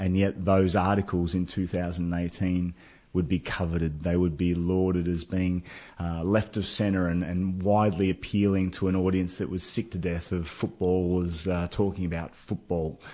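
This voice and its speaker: A man with an Australian accent and a very deep, low pitch speaks in a dark, mellow tone, monotone and flat at a moderate pace, against a quiet background. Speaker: former footballer turned author. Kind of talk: radio interview. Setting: studio.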